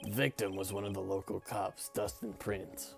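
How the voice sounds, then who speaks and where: A man with a fairly low pitch puts on a raspy character voice at a moderate pace. Music plays clearly in the background. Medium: game stream. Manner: deferential, says sir constantly.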